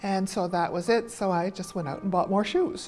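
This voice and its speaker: Music plays in the background as a woman speaks. Her pitch is medium, with ordinary pitch variation. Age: 70s. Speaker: retired physiotherapist, patient. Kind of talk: testimony.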